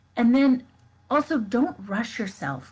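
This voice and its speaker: A woman speaks very slowly and somewhat breathily, her pitch making very wide swings. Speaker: life coach. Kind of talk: live stream talk. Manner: casual with fillers.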